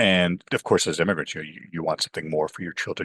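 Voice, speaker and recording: A man with a Canadian accent, in a dry, close sound with no echo. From Canada, Toronto. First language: Urdu. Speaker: professor. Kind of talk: interview.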